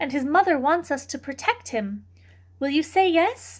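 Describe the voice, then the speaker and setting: A woman's put-on character voice at a high pitch. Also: moderate pace. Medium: read story. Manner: warm, firm.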